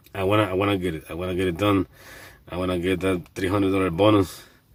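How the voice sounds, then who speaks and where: A man speaks in a very deep, low voice with a flat, monotone delivery and a non-native accent. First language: not English. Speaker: delivery driver, vlogger. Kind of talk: casual vlog monologue. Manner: halting, many repetitions and fillers.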